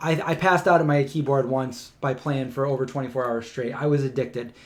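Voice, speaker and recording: A man with an American accent speaks in an animated tone at a fairly quick pace, his pitch medium, over noticeable background noise. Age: 40s. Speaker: vegan lifestyle YouTuber. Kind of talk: casual livestream chat.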